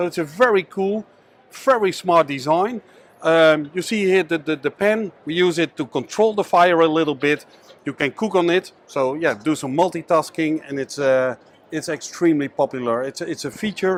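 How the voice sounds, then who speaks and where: At a moderate pace, a man with a Dutch accent talks in a fairly high pitch with ordinary pitch variation and a dry, close sound with no echo. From Netherlands. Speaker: business owner. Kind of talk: sales pitch. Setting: trade show.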